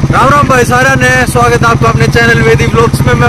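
Loud noise fills the background as a man speaks at a moderate speed, the sound dry with no echo. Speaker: vlog host. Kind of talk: casual vlog chat. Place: motorbike. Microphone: phone near.

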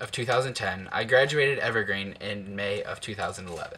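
With an American accent, a man is talking. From Ohio, Toledo; Ohio. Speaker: YouTuber. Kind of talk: personal narration. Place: home room. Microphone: webcam.

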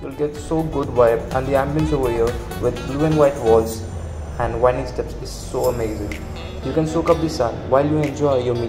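A man holds a moderate pace while clear music sounds behind him. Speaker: food vlogger. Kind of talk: casual vlog chat. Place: cafe.

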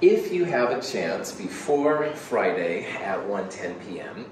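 Audible room echo and light background noise accompany a man as he talks. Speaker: college chemistry instructor. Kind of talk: lecture. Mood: relaxed, friendly. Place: classroom. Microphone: camera far.

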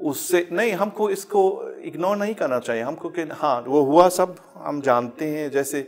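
A man talks fairly slowly, his intonation lively. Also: fairly high pitch for a man. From Germany. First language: German (speaking Hindi). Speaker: professor; interview guest, university professor. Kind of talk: interview. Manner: halting. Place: studio.

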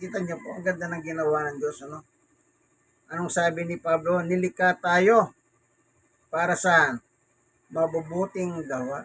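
A man's high-pitched voice at a moderate pace, with fairly even intonation, big swings in loudness and long, frequent pauses. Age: 60s. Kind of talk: casual bible talk and news commentary. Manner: halting.

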